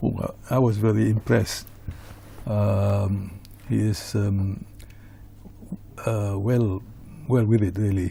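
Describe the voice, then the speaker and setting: With monotone, flat intonation and a fairly low pitch, a man speaks at a very slow pace broken by long, frequent pauses. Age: 70s. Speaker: magazine editor. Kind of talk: TV interview. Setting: TV studio. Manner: halting, many filler sounds.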